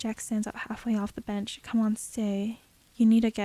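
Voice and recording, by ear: Text is being read out loud. It comes in a natural voice.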